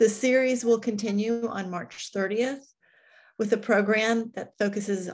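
At a moderate pace, a woman talks with fairly even intonation against a quiet background. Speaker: nonprofit executive hosting webinar. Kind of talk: formal welcome and announcements. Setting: webinar video call. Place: home room.

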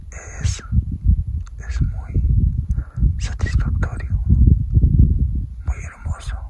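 A man at a very slow pace, with long, frequent pauses. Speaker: nature vlogger. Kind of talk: casual talk to camera. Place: open country. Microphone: phone near.

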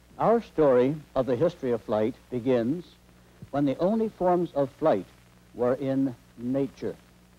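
A man's medium-pitched voice, dark and mellow in tone, at a fairly slow pace with lively intonation

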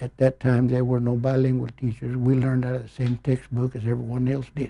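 A man talks at a fairly quick pace in a flat monotone. His tone is dark and mellow and somewhat breathy. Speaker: interviewee. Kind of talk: interview answer. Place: office. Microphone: lapel.

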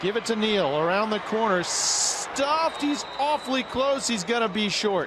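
A man speaks in a high voice at a moderate pace, with hardly any pauses. His intonation is lively and his loudness very even, with noticeable background noise. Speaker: football play-by-play announcer. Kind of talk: live play-by-play commentary.

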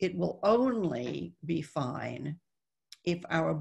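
A woman with vocal fry and a fairly low pitch, against a quiet background. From raised in the Netherlands, born in Texas. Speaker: author and former CEO. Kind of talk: interview on a webinar panel. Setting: video call. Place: home room. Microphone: video call.

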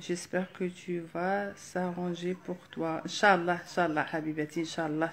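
In an Algerian accent, a woman speaks at a fairly low pitch in a monotone, flat way with hardly any pauses, over light background noise. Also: moderate pace. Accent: Algerian Arabic with French code-switching. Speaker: live streamer. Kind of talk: live stream chat. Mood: warm, friendly. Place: home room. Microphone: phone near.

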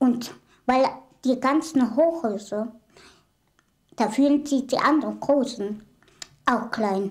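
A woman's high-pitched voice at a very slow pace, with long, frequent pauses, ordinary pitch variation and very even loudness, against a quiet background. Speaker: small-statured woman, documentary subject. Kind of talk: casual talk to camera, interview answer. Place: home room.

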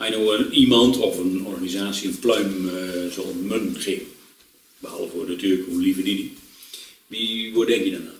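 A man with a fairly low pitch speaks at a moderate pace and with fairly even intonation, and audible room echo is present. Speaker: talk show host. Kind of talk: interview questions. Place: home room.

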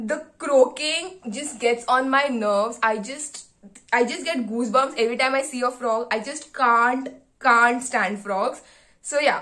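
A woman with a high pitch and a bright, sharp tone reads at a fairly slow pace. Her pitch varies in an ordinary way over a quiet background. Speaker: medical student vlogger. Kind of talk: casual vlog chat. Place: home room. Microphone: phone near.

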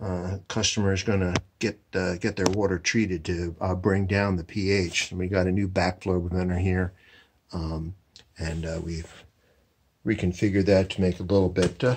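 Light background noise sits behind a man speaking at a moderate pace. His very deep, low voice stays monotone and flat. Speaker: heating contractor. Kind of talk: tutorial. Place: home room. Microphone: phone near.

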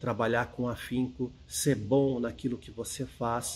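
There is noticeable background noise. Over it, a man is speaking. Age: 40s. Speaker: architect and writer, book editor at investment research firm. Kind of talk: personal storytelling to camera.

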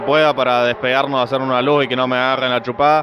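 A man at a fairly quick pace, fairly even in intonation, dry and echo-free, with noticeable background noise. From Argentina. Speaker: racing driver. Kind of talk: post-race interview. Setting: trackside interview at a race circuit. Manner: hesitant, with fillers and repetitions. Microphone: handheld.

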